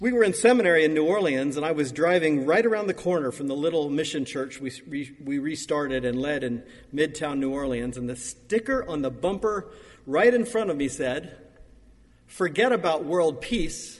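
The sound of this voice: A man at a moderate pace, fairly high-pitched, with lively intonation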